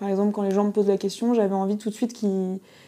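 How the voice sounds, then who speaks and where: A woman speaks in a fairly high pitch. Her tone is dark and mellow. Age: 20s. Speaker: young judge. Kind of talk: interview. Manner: loud.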